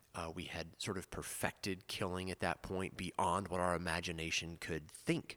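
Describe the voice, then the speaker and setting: In an American accent, a man with a very deep, low pitch and a bright, sharp tone speaks in a monotone, flat intonation at a moderate pace with hardly any pauses. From US South. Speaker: priest and podcast co-host.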